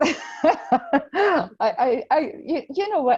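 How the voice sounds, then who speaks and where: A woman in a Czech accent, her voice making very wide pitch swings. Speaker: podcast co-host, major trauma survivor. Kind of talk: casual podcast chat.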